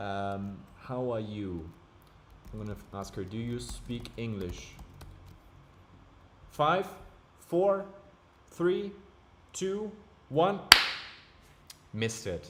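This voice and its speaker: A man at a medium pitch with very wide pitch swings, a very slow pace and long, frequent pauses, in audible room echo. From Germany. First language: German. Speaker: streamer. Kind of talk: live stream chat. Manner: casual, animated.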